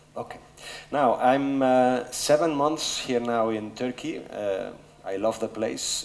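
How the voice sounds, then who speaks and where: There is noticeable background noise and audible room echo behind a man. He speaks at a moderate pace with ordinary pitch variation. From Spain, Barcelona. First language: Spanish. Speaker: business executive. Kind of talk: conference talk. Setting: stage with audience. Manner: hesitant with fillers.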